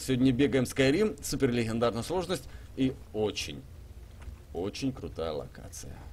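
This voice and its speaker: Vocal fry marks a man's medium-pitched voice at a moderate pace, with big swings in loudness. Light background noise sits underneath. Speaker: gaming streamer. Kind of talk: live stream gameplay commentary. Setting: live stream with chat and donations. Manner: animated, chatty.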